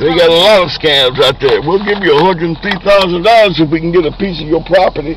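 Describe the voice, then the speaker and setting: With an American accent, a man talks at a very fast pace and high pitch with ordinary pitch variation and hardly any pauses, in a dry sound with no echo but noticeable background noise. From Oakland, California. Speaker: cab driver. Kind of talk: casual conversation. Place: car. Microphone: phone near.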